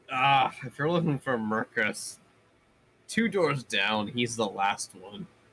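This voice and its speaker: A man puts on a character voice at medium pitch, speaking at a fairly slow pace. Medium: actual play. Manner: brief, businesslike.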